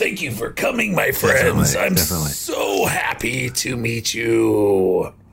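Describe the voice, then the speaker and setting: A man puts on a raspy character voice in a Midwestern-free drawl at a very slow pace. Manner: friendly, welcoming.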